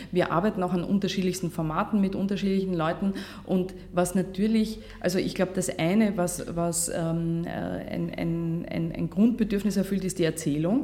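Against noticeable background noise, a woman speaks at a moderate pace and medium pitch. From Austria, Vienna and Vorarlberg. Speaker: journalist and podcaster. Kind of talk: workshop talk. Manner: polished radio-style delivery; hesitant with fillers.

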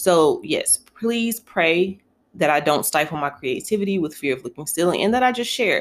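A woman with an American accent talks at a moderate pace in a fairly low pitch, with lively intonation. It is a normal speaking voice. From North Carolina (Elm City); later Buffalo, New York. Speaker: podcast host. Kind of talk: casual solo podcast monologue. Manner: conversational, with frequent fillers.

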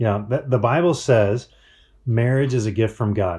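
On a very clean recording with a silent background, a man speaks in a fairly low, dark, mellow, somewhat breathy voice with ordinary pitch variation. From Colorado mountains. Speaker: marriage speaker. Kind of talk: conference talk.

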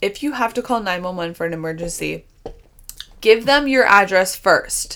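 A woman speaks at a moderate pace with a medium pitch and lively intonation, leaving long, frequent pauses. Noticeable background noise runs underneath. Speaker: dance instructor and podcast host. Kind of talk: casual chat.

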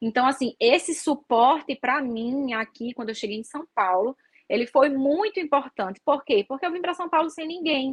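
Speaking at a moderate pace with hardly any pauses, a woman with a Natal accent uses lively intonation and a high pitch. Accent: northeastern Brazilian (Natal). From Brazil, Natal (Northeast). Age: 30s. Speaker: flight attendant. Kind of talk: interview guest, casual chat. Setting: live stream video call.

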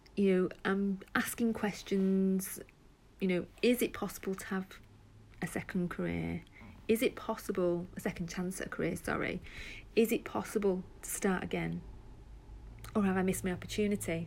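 Speaking at a moderate pace with an English accent, a woman leaves long, frequent pauses. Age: 40s. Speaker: podcaster and job seeker. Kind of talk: personal monologue. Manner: hesitant, with fillers.

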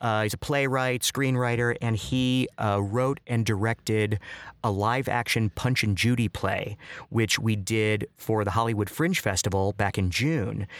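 Over a silent background on a very clean, dry, close recording with no echo, a man with an American accent talks at a fairly slow pace and medium pitch, with ordinary pitch variation and very even loudness. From US Midwest, Chicago southwest side. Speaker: clown and actor. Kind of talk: casual interview. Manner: halting, many fillers.

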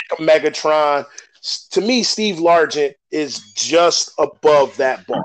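A fairly high-pitched man speaks at a very slow pace. His pitch varies in an ordinary way. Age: 40s. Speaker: sports podcast host. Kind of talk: casual chat.

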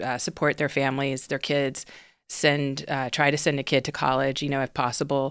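Woman with a very deep, low voice and an American accent, moderate pace, very clean recording with a silent background. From US South, Houston, Texas. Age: 40s. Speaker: documentary director. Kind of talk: casual chat. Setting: studio.

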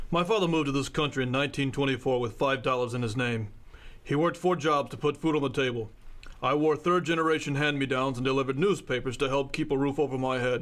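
A gruff, put-on character voice at a fairly quick pace. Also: man, medium pitch for a man. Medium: audio drama. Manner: gruff, curt, domineering.

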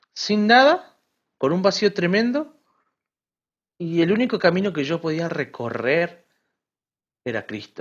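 A man with an Argentine accent speaks at a fairly slow pace in a high voice with very wide pitch swings, over a quiet background. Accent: Argentine Spanish (voseo). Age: 20s. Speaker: writer and seminary student. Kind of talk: interview testimony.

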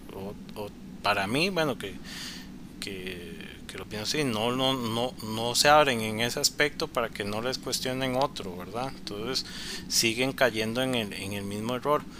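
The man's speech is fairly slow. Behind him runs noticeable background noise. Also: medium pitch for a man, ordinary pitch variation. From Costa Rica, Cartago. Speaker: podcast guest. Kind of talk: casual chat.

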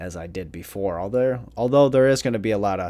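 A man's dark, mellow tone with vocal fry, at a moderate pace. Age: 30s. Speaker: solo podcaster. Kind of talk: casual solo monologue.

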